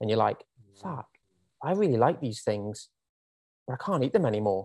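A man at medium pitch with a Welsh accent, in a dry, close sound with no echo. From Wales. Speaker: personal trainer. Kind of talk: casual chat. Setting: video call.

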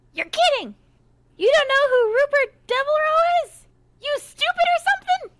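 This put-on character voice is squeaky and extremely high-pitched, moving at a moderate pace. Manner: insolent.

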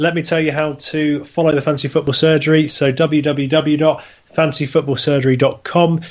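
A man speaks with a British accent in a monotone, flat intonation. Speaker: podcast host. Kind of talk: casual chat. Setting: studio.

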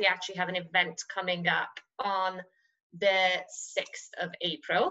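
A woman speaks in a Persian accent at a fairly slow pace. Her tone is bright and sharp, her pitch medium. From Iran (Tehran). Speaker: investment manager. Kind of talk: interview.

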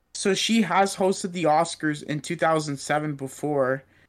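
A man with a Canadian accent at a fairly slow pace. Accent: sounds like a Canadian hockey player. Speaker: podcast co-host. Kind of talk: casual chat. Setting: remote recording.

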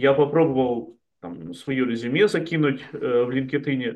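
With an unremarkable speaking voice, this man talks fairly high in pitch, his pitch varying in an ordinary way. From Chelyabinsk, Russia. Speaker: startup community founder. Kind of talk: casual interview chat. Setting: video call.

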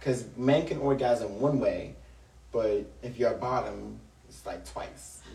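A man in an American accent speaks fairly slowly, with noticeable background noise in the recording. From Long Island, New York. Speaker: guest. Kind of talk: casual interview chat.

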